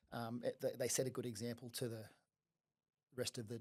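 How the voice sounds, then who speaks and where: Monotone, flat intonation from a man at a medium pitch and a moderate pace. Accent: Australian. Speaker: fitness studio franchise founder. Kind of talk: podcast interview. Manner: casual, many fillers.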